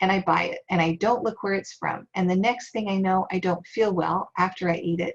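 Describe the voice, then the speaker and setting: With an American accent, a woman talks at a moderate pace, somewhat breathy, her intonation fairly even. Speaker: workshop presenter on farm succession. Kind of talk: online workshop presentation. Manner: soft-spoken.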